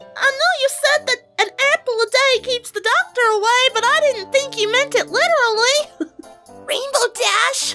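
A put-on character voice at an extremely high pitch comes through over faint music in the background. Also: moderate pace.

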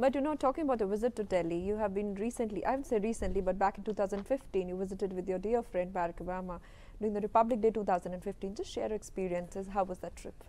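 A woman's very fast, dark and mellow delivery with an Indian accent, hardly any pauses and ordinary pitch variation. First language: Hindi. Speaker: TV news presenter. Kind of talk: interview. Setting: TV studio. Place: studio. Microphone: lapel.

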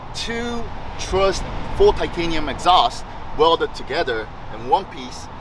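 Noticeable background noise surrounds a man speaking at a fairly slow pace. The sound is dry, with no echo. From Japan. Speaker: car enthusiast. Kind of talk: casual explanation. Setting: outdoors at a car meet. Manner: halting. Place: street. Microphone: handheld.

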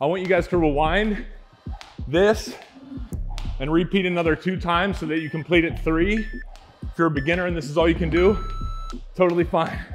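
Faint music plays in the background while a man with a high pitch talks at a fairly quick pace and fairly even intonation. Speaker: fitness instructor. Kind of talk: workout follow-along coaching. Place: gym. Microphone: lapel.

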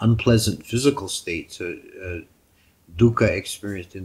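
A somewhat breathy man speaks with ordinary pitch variation. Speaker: monk teacher. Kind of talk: sermon. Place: home room. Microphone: headset.

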